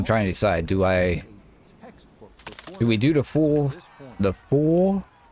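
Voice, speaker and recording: The speaker has an American accent and very wide pitch swings. The pace is fairly slow, with noticeable background noise. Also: man. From upstate New York. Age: 40s. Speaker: gaming streamer. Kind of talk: live gameplay commentary. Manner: casual, halting.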